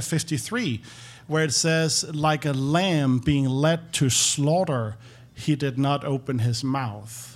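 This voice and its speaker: With a Danish accent, a man speaks with ordinary pitch variation. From Denmark. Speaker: former pastor. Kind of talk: testimony.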